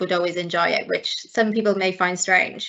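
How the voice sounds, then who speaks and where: At a moderate pace, a woman with a Welsh accent speaks at a medium pitch in a flat monotone. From South Wales, near Swansea. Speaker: chartered accountant. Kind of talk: webinar talk.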